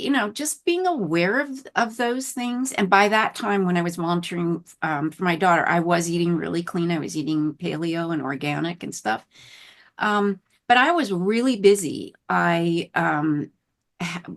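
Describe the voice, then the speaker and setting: An ordinary speaking voice, a woman's, fairly low in pitch, with lively intonation and a moderate pace over a quiet background. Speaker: chronic illness recovery interviewee. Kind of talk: interview testimony.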